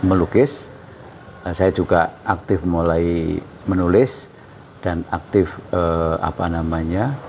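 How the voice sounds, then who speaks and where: Over noticeable background noise, a man with a very deep, low pitch talks at a very slow pace, leaving long, frequent pauses. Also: ordinary pitch variation. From East Java, Indonesia (Bojonegoro). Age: 60s. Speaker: painter and journalist. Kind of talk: interview. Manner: hesitant, many fillers.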